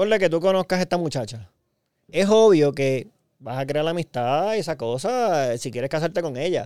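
A man's fairly high voice with a dark, mellow tone and lively intonation, in a very clean recording with a silent background. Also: moderate pace. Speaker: podcast co-host. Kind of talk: casual chat.

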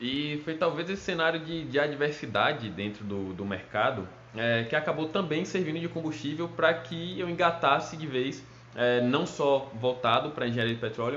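A man's fairly high voice, with audible room echo and noticeable background noise. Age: 20s. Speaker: petroleum engineer. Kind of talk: recorded talk to students.

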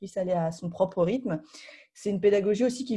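Somewhat breathy and dark, mellow in tone, the voice moves at a fairly quick pace. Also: woman. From Paris region, France. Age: 30s. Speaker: board game publisher. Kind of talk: interview. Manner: halting, many fillers.

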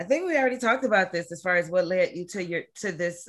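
A woman speaks in a plain, everyday voice, fairly low in pitch, with ordinary pitch variation. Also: very clean recording, silent background. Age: 40s. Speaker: podcast host. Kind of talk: casual chat.

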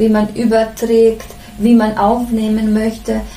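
A woman speaks at a fairly slow pace in a fairly high voice. Noticeable background noise and audible room echo fill the recording. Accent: Bosnian. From Bosnia. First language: Bosnian (speaking German). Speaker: head nurse. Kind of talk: interview. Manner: hesitant, many fillers.

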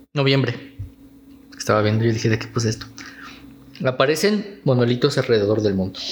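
Noticeable background noise sits behind a man speaking at medium pitch with ordinary pitch variation. His pace is fairly quick, broken by long, frequent pauses. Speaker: podcast co-host. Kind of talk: casual chat. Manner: serious, newsreader-like.

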